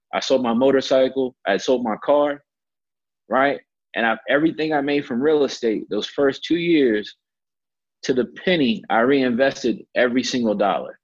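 A man's normal speaking voice at a moderate pace, medium in pitch with ordinary pitch variation. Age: 30s. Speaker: real estate investor. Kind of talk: interview. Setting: call.

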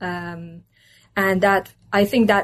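Against a quiet background, a woman speaks with a Turkish accent. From Turkey (Istanbul). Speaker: political science professor. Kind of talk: interview.

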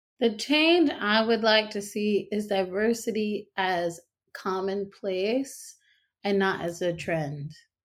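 Delivered at a very slow pace, this voice carries a North Carolina accent and lively intonation. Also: woman, medium pitch for a woman. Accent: Southern US (North Carolina). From US South, North Carolina. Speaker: stage actress and singer. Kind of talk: interview conversation.

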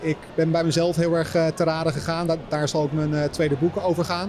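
Over noticeable background noise, a man with a fairly high pitch speaks in monotone, flat intonation. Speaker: fitness influencer and author. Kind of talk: interview before live audience. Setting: live event with audience.

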